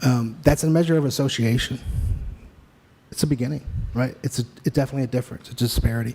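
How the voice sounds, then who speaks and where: A soft-spoken man with a medium pitch talks at a very fast pace, his dark, mellow tone somewhat breathy. His intonation stays fairly even, broken by long, frequent pauses. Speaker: expert witness. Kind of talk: court testimony. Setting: courtroom. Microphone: too quiet, hard to hear.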